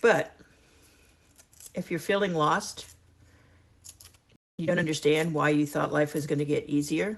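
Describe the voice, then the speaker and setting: A woman talks at a fairly slow pace in a very deep, low pitch with ordinary pitch variation. Her speech has long, frequent pauses. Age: 60s. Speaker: retirement lifestyle vlogger. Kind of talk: casual chat to camera. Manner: conversational, warm; some halting restarts.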